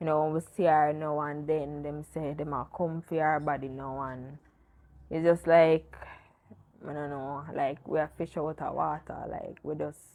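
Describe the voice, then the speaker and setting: Her voice is very deep and low, with a dark, mellow tone. The woman speaks in a monotone, flat intonation at a moderate pace. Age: 20s. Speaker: interviewee sharing grief story. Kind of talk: personal testimony in interview. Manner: halting.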